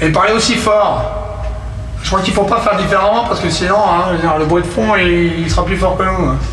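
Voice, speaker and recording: A man speaks at a very even loudness. Noticeable background noise and audible room echo surround him. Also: fairly quick pace. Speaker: amateur math lecturer. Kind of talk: lecture. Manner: halting.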